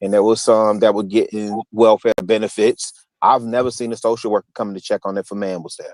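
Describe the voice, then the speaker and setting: With an American accent, a man with a fairly low voice talks at a fairly quick pace in a monotone, flat delivery, his loudness swinging widely in a dry, close recording with no echo. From US Midwest, Chicago. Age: 70s. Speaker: livestream guest. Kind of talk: live debate discussion.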